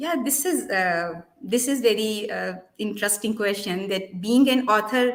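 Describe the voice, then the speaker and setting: A woman with a Pakistani accent speaks at a fairly slow pace, her medium-pitched voice showing ordinary pitch variation. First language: Urdu. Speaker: molecular biologist and children's book author. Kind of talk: interview. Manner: halting, with many fillers.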